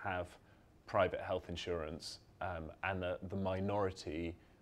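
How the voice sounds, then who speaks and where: A man with a British accent and a very deep, low pitch. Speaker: journalist. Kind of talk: panel discussion. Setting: event with live audience.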